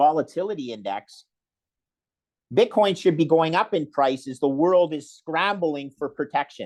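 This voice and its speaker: This man has a fairly high voice with ordinary pitch variation. The background is quiet. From Canada. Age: 60s. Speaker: investor. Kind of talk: interview.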